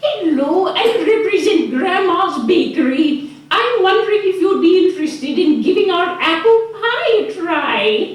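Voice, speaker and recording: A female-sounding voice does a put-on character at an extremely high pitch and a moderate pace. There is slight echo and light background noise. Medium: stage play.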